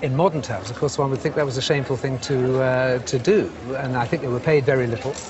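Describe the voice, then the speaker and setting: A man with a British accent talks very fast at a medium pitch with ordinary pitch variation, over noticeable background noise. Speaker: antiques specialist. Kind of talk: casual chat.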